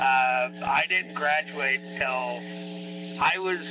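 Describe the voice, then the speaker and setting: A man talks while noticeable noise sounds in the background. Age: 60s. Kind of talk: casual chat. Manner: halting.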